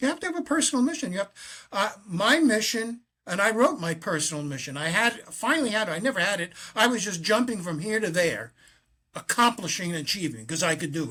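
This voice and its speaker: At a moderate pace, a man projects a raised, bright, sharp voice with very wide pitch swings in a very clean recording with a silent background. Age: 80s+. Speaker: author and faith speaker. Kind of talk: interview conversation. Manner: halting.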